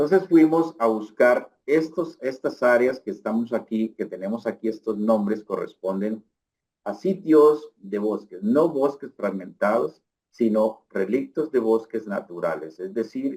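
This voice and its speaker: Delivered at a fairly slow pace, the voice has a dark, mellow tone and lively intonation. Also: man, medium pitch for a man. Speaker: researcher. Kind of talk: lecture. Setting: online lecture.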